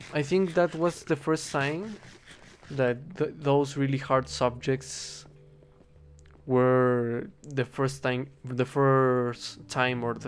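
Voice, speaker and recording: The speaker goes at a very slow pace with a slight Spanish accent. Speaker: gaming streamer, linguistics student. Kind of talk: casual gameplay monologue. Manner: halting, with many repetitions.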